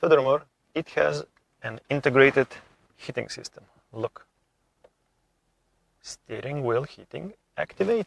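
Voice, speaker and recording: A man with a non-native accent speaks at a fairly slow pace, leaving long, frequent pauses. His loudness swings widely, and the sound is dry and close with no echo. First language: not English. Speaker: car vlogger. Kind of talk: car review vlog. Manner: enthusiastic.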